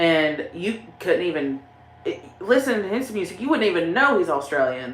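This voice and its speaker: A woman with a strong Southern US accent, lively intonation and a fairly slow pace, amid audible room echo. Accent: strong Southern country. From Tennessee. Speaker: YouTuber, paranormal channel host. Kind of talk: livestream chat reading comments. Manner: casual, rambling with fillers.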